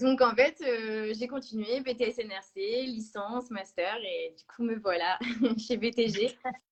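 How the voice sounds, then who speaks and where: A woman's fairly high voice at a very slow pace, with fairly even intonation and big swings in loudness. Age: 20s. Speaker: sales representative. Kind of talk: interview. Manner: hesitant, many fillers.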